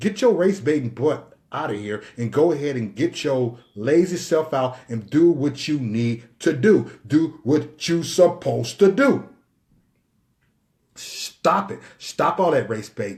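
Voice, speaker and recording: Somewhat breathy and animated, a man talks at a fairly slow pace in a fairly high pitch with lively intonation. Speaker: live-stream commentator. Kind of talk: live stream monologue.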